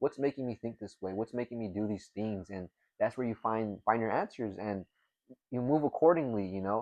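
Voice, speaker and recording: Someone with an American accent talks fairly quickly in a normal speaking voice with ordinary pitch variation. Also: man, medium pitch for a man. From California Central Coast. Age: 20s. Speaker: college student athlete. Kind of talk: casual conversation.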